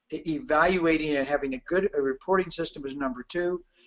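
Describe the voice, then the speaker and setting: A man talks with an ordinary speaking voice at a fairly high pitch. He moves at a fairly quick pace with ordinary pitch variation. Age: 60s. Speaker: chiropractor and practice consultant. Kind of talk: webinar presentation.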